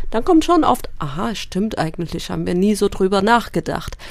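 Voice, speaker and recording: Using lively intonation and some vocal fry, a woman speaks at a moderate pace with a medium pitch. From Eritrea. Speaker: member of parliament. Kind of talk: radio interview.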